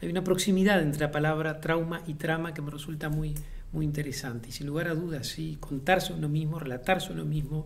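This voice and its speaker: Over noticeable background noise and audible room echo, a man with a fairly high voice talks very fast with fairly even intonation. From Uruguay, Montevideo. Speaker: playwright and theatre director. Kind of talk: interview monologue. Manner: thoughtful, frequent hesitations and repetitions.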